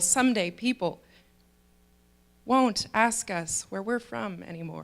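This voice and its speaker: A woman with an American accent speaks in a plain, everyday voice at a moderate pace, with ordinary pitch variation. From USA. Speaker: student monologue performer. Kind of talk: spoken monologue performance.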